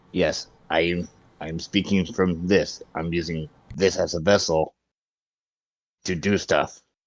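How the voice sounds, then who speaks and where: A man puts on a raspy character voice with a very deep, low pitch. He speaks at a fairly slow pace, leaving long, frequent pauses. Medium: actual play.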